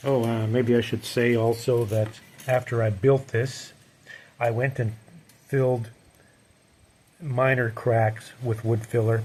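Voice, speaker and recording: A man speaks in a flat monotone, his voice somewhat breathy. He leaves long pauses, and they come often. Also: medium pitch for a man, fairly slow pace. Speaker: painter and frame builder. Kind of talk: tutorial. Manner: casual, hesitant.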